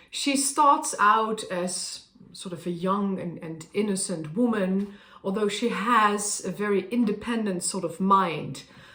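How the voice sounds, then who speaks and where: Fairly slow speech in a Dutch accent with audible room echo. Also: woman. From Netherlands. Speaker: opera singer. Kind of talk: casual talk to camera. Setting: at a harpsichord. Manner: halting.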